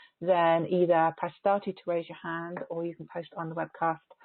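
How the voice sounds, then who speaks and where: A woman speaks in an English accent at a moderate pace. Her pitch is fairly low, with monotone, flat intonation. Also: big swings in loudness. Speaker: energy healer. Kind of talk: teleconference talk before a guided healing transmission. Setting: phone and webcast group call. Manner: halting with many repeated words; softer when channeling. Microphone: may be far from the microphone, quiet.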